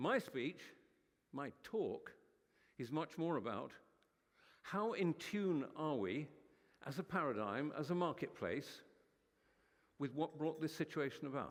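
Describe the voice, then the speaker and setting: With vocal fry and a fairly high pitch, a man speaks at a fairly slow pace, his lively intonation broken by long, frequent pauses. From United Kingdom. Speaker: conference speaker. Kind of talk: keynote speech. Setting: stage with audience. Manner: animated.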